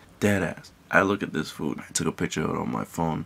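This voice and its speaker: The speaker is soft-spoken, at a moderate pace. Intonation stays lively. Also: man. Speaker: vlogger. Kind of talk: casual rant to camera. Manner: soft-spoken, held back. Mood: irritated, ranting. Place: home room. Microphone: phone near.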